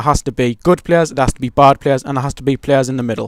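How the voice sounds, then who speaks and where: A man speaks with an English accent at a fairly high pitch. The sound is dry and close, with no echo. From England. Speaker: gaming YouTuber. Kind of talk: gameplay commentary. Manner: casual, rambling with fillers.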